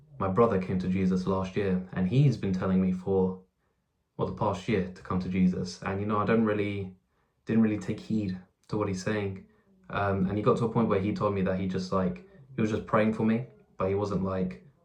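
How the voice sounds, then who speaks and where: A man talks at a fairly quick pace in a fairly low voice for a man. His intonation stays fairly even. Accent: English. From England. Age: 20s. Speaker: YouTuber. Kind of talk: testimony. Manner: halting, with fillers and repeats.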